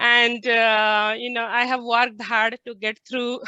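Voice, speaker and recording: Speaking with an Indian accent over a quiet background, a woman uses a fairly high pitch and a bright, sharp tone in a monotone, flat intonation. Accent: Indian accent, noticeable. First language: non-English (Indian language). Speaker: scientist and company founder. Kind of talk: panel discussion. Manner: hesitant, many fillers.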